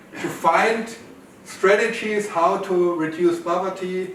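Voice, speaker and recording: Over noticeable background noise and audible room echo, a man speaks fairly slowly with fairly even intonation. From Germany, North Rhine-Westphalia. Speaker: professor. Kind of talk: conference talk.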